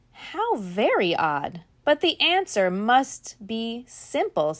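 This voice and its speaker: A female-sounding put-on character voice moves at a very slow pace, fairly high in pitch and with very wide pitch swings. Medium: read story.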